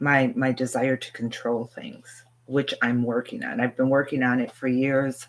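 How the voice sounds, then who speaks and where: A woman speaks with a very deep, low pitch and monotone, flat intonation. Her pace is moderate, with hardly any pauses. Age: 60s. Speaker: spiritual teacher. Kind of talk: live stream Q&A. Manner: hesitant, many fillers.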